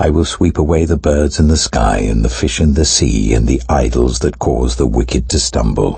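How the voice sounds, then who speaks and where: A man speaks at a moderate pace in a very deep, low pitch with a warm tone. His loudness stays very even, his pitch varies in an ordinary way, and there are hardly any pauses. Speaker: actor. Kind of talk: audio Bible reading. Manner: reverent, clear, warm.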